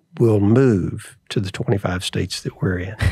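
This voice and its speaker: With a Southern US accent, a man speaks in a dark, mellow tone that is somewhat breathy. His pace is moderate, and his pitch variation is ordinary. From US South (Atlanta and Memphis). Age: 70s. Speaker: restaurant chain chairman. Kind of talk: interview.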